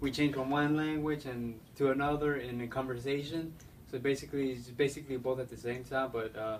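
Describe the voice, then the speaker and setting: A man with a Spanish accent talks at a fairly quick pace and medium pitch, in monotone, flat intonation. Noticeable background noise runs beneath him. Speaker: interviewee. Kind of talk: interview. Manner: halting, many fillers.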